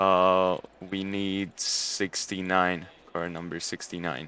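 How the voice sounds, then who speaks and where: A man's very deep, low voice with a Hungarian accent, a bright, sharp tone and monotone, flat intonation, in a very clean recording with a silent background. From Hungary. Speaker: sim racing commentator. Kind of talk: live commentary. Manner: casual, halting.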